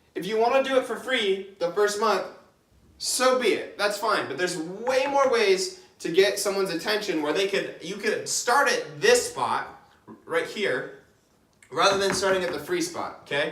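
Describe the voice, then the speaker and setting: At a moderate pace, the speaker uses an energetic tone with ordinary pitch variation, and audible room echo can be heard. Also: man, high pitch for a man. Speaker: online business coach. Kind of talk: whiteboard tutorial. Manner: casual, energetic.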